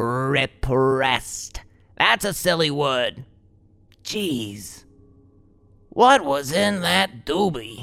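Speaking very slowly with long, frequent pauses, a man uses a fairly high pitch that swings very widely. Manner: laid-back, rambling, profane.

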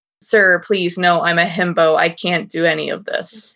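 A whiny, put-on character voice at middle pitch and a moderate pace. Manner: mock pleading, whiny.

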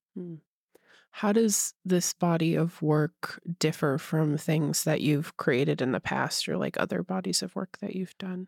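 At a fairly slow pace, a woman speaks in a fairly low pitch with vocal fry, in a very clean recording with a silent background and a dry, close sound with no echo. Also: ordinary pitch variation. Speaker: podcast interviewer. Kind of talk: casual interview.

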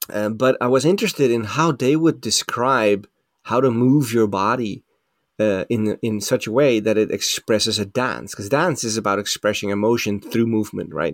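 Here a man speaks at medium pitch and a moderate pace with ordinary pitch variation. The sound is dry and close, with no echo. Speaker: scuba training director. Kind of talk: casual interview. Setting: remote call. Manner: halting, repeats words.

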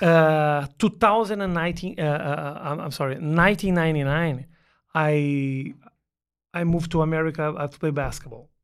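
Fairly high-pitched for a man, this voice has a Portuguese accent, a moderate pace, big swings in loudness and ordinary pitch variation on a very clean recording with a silent background. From southern Brazil (Porto Alegre). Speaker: stand-up comedian. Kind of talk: casual chat. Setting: studio.

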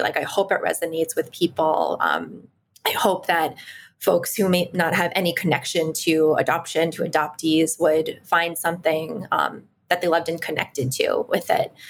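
An unremarkable speaking voice of a woman with an American accent, medium pitch and a fairly quick pace. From Washington, D.C. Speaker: educator. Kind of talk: casual chat.

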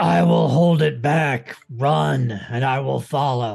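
A man's growling, put-on character voice at a medium pitch and a very slow pace.

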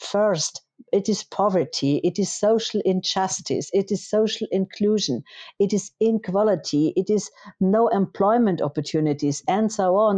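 With a German accent, a woman at medium pitch speaks at a moderate pace in a dark, mellow tone with ordinary pitch variation, in a dry, close sound with no echo against a quiet background. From Germany. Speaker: politician. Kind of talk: interview. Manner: halting, many fillers.

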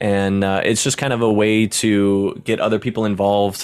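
A man with a normal speaking voice talks at a moderate pace and a fairly low pitch. The recording is very clean, with a silent background. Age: 30s. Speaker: Twitch streamer. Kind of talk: casual chat.

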